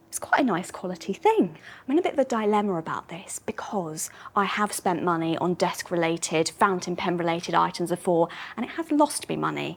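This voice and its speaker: Fairly quick pace from a woman with a fairly low pitch and ordinary pitch variation. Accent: British. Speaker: antiques expert. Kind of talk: casual presenting to camera.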